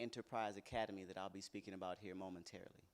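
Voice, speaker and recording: A man speaks with a Texan accent and fairly even intonation. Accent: Texan American. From Texas (Bryan, near Houston). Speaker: organization founder. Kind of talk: self-introduction.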